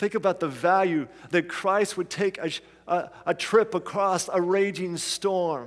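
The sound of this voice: The intonation holds fairly even. It is an unforced reading voice.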